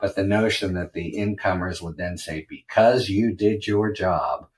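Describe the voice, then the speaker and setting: Fairly slow and somewhat breathy, a man with an American accent speaks at a fairly low pitch with fairly even intonation. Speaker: legal analyst podcast host. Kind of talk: solo commentary. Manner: even-keeled.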